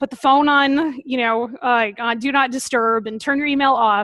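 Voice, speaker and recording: A woman talks at a moderate pace in a high pitch. Her tone is bright and sharp, and her intonation fairly even. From New England. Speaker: veterinarian and food safety consultant. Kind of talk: webinar presentation. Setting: online webinar.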